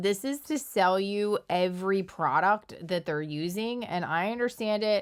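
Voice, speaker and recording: With ordinary pitch variation, she keeps to a fairly slow pace as a woman speaking. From Philadelphia, US. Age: 40s. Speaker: social media commentator. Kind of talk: casual commentary monologue. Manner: conversational, with fillers.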